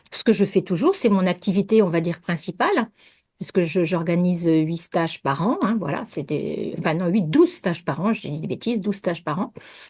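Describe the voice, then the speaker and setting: At a fairly quick pace, a woman speaks in a somewhat breathy voice with ordinary pitch variation. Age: 60s. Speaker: naturopath. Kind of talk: interview. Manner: halting.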